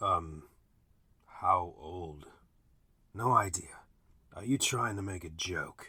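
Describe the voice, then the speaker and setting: A put-on character voice, raspy, moves at a very slow pace with long, frequent pauses. Its loudness swings widely. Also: man, very deep, low pitch for a man. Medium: read story.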